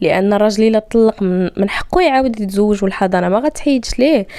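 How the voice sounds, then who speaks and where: A woman's medium pitch and dark, mellow tone. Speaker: podcast host. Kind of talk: casual monologue.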